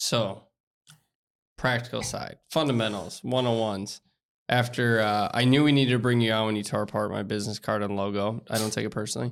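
A plain, everyday voice from a man of medium pitch, at a fairly quick pace with fairly even intonation, in a very clean recording with a silent background. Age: 30s. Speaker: podcast host, business consultant. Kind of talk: casual interview chat.

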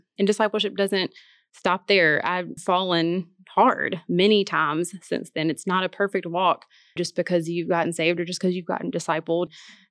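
A woman's fairly low voice at a moderate pace, fairly even in intonation, dry and close with no echo, on a very clean recording with a silent background. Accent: Tennessee. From US South, Martin, Tennessee. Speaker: church staff and Bible study writer. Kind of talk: casual chat.

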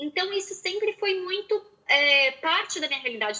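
Projecting her voice, a woman speaks at an extremely high pitch with very wide pitch swings. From Porto Alegre, southern Brazil. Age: 30s. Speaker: style consultant. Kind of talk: casual interview.

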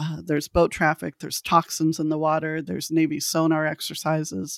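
A woman with a Californian accent speaks in a very deep, low pitch, on a very clean recording with a silent background and a dry, close sound with no echo. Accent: General American (Californian). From Los Angeles, California. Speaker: thanatologist and researcher. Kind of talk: interview.

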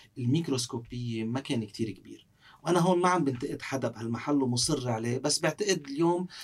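Using an unremarkable speaking voice, a man talks at a medium pitch and a fairly quick pace, with ordinary pitch variation and hardly any pauses. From South Lebanon. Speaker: parliamentary candidate and law professor. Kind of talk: interview.

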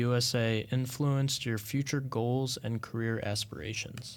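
A man with an unremarkable speaking voice speaks at a moderate pace and medium pitch in a very clean recording with a silent background. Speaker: student podcast host. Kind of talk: interview.

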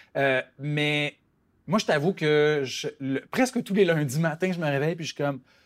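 The recording is very clean, with a silent background. A man with an ordinary speaking voice talks fairly slowly at a fairly high pitch, with ordinary pitch variation. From rural Quebec. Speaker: novelist. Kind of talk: interview.

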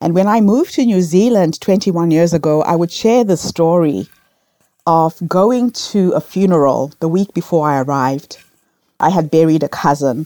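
Speaking at a moderate pace with ordinary pitch variation, a woman with a fairly low voice and a dark, mellow tone keeps her loudness very even in a dry, close sound with no echo. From Zimbabwe. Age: 50s. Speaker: storyteller and entrepreneur. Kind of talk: interview.

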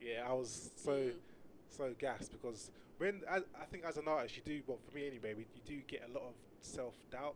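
This man talks at a fairly quick pace in a medium pitch with ordinary pitch variation, a normal speaking voice. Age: 30s. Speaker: rapper and music studio founder. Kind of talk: casual chat.

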